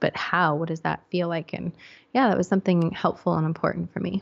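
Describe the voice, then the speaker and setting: This woman, with an American accent, talks at a fairly low pitch. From England, with childhood years in the US. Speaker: psychologist and podcast host. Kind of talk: interview.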